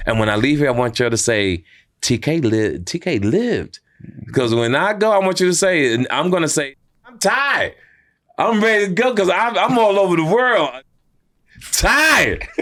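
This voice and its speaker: An American man speaks in an animated tone at a high pitch, his voice making very wide pitch swings between long, frequent pauses. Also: moderate pace. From US West Coast. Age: 60s. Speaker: comedian and entertainer. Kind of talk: podcast interview, casual chat.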